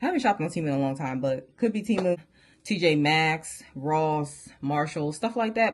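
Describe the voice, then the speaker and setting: Woman with a very deep, low pitch and lively intonation. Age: 30s. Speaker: fashion YouTuber. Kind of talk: casual haul video chat. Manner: fast; animated.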